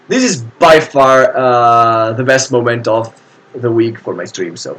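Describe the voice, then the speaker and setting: A man with an Italian accent speaks at a fairly slow pace. Noticeable background noise surrounds him. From Italy. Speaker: board game streamer. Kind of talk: live stream commentary. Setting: live stream. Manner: hesitant, many fillers.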